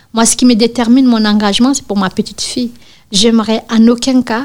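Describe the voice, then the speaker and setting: Here a woman with an ordinary speaking voice talks at a fairly high pitch, her intonation fairly even. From Guinea. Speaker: activist. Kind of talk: testimony.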